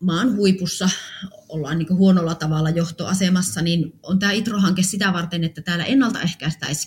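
Speaking at a moderate pace, the woman has an unremarkable speaking voice with a fairly low pitch. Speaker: funeral home owner. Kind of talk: personal testimony.

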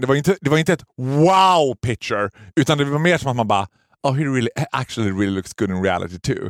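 Very fast and animated, a man talks at a fairly high pitch with very wide pitch swings. The sound is dry and close, with no echo. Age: 30s. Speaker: podcast host. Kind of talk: casual chat.

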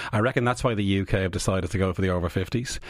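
A man with an Irish accent talks very fast at a fairly low pitch, on a very clean recording with a silent background. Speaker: immunology professor. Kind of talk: radio interview. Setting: studio. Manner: animated.

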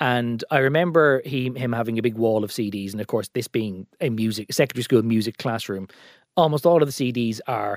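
With an Irish accent, a man talks at a fairly quick pace and a medium pitch. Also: dry, close sound with no echo, very clean recording, silent background. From Ireland, County Meath. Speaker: political journalist. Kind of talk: casual chat.

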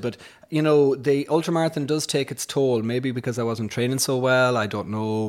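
Talking at a fairly quick pace with ordinary pitch variation, a man with a Sligo accent is heard in a very clean recording with a silent background. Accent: rural Irish (Sligo). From Ireland, west Sligo. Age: 40s. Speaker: economics professor and entrepreneur. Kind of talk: interview conversation. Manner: hesitant, many fillers.

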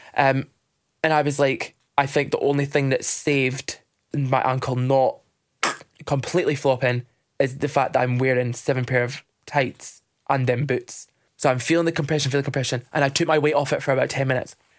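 Talking at a fairly quick pace with a Dundee accent, a man keeps a fairly high pitch and very even loudness. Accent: Dundee Scottish. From Scotland, Dundee (Kirkton scheme). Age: 20s. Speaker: drag queen, podcast host. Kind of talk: casual chat. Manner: animated.

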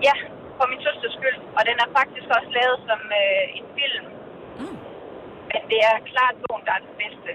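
At a fairly slow pace with long, frequent pauses, a high-pitched woman speaks over noticeable background noise. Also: ordinary pitch variation, big swings in loudness. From Denmark, Korsør (Zealand). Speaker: radio caller. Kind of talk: phone-in book recommendation. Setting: phone call.

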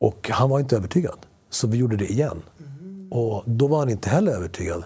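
The voice has a dark, mellow tone, somewhat breathy, with lively intonation at a moderate pace on a very clean recording with a silent background. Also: man. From Sweden, Spanish-speaking family. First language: Spanish (speaking Swedish). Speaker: actor. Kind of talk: casual chat. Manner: animated.

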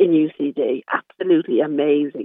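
A woman speaks with an Irish accent. Her pitch swings very widely. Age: 70s. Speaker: caller, social care worker. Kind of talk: radio phone-in discussion. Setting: phone call.

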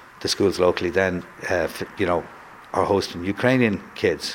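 In a Dublin accent, a man talks at a fairly quick pace with a fairly low pitch. Noticeable background noise runs underneath. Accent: Dublin Irish. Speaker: school principal. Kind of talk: interview.

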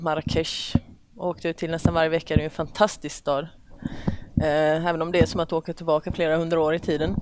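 A woman's fairly low voice at a fairly quick pace. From Sweden, Oskarshamn (Småland). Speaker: police officer. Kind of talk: casual interview chat. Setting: men's locker room at a golf club.

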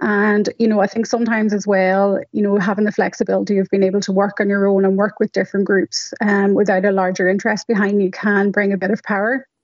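Speaking very fast with hardly any pauses, a woman with a Donegal accent keeps a monotone, flat intonation in a dry, close sound with no echo. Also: medium pitch for a woman. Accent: Donegal Irish. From Donegal, Ireland. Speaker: patient advocate and medical scientist. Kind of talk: radio interview. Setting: phone line.

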